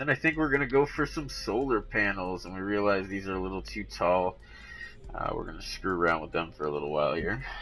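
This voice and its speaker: Music sits in the background as a man races through his words at a very fast pace. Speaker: gaming tutorial youtuber. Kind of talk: game tutorial voiceover. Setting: recorded voiceover. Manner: casual, hesitant with many ums. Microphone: cheap mic, viewers complained.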